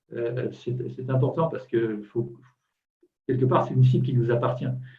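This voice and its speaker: Man at medium pitch and moderate pace, with audible room echo and music in the background. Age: 60s. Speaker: client giving testimony. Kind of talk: testimony. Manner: halting, many repetitions.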